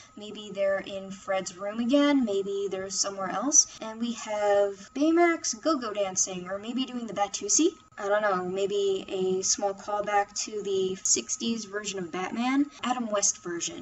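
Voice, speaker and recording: At a fairly slow pace with hardly any pauses, a woman speaks at medium pitch against noticeable background noise. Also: ordinary pitch variation. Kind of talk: casual review talk to microphone. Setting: computer microphone.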